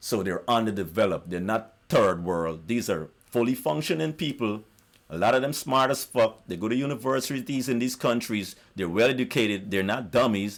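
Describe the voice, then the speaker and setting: An animated tone with lively intonation, a South American accent and a moderate pace, in a very clean recording against a silent background. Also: man, medium pitch for a man. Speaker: YouTuber. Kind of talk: monologue rant.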